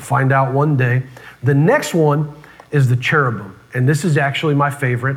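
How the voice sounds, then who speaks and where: An animated man speaks at a moderate pace and a fairly high pitch, with audible room echo around him. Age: 30s. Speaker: pastor. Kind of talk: sermon.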